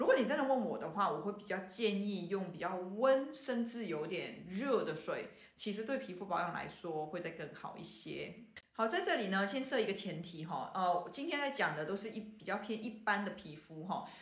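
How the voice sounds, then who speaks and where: Speaking at a moderate pace with hardly any pauses, a woman uses lively intonation at a medium pitch, with audible room echo and noticeable background noise. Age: 40s. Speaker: traditional Chinese medicine doctor. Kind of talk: podcast health talk. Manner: casual with many fillers.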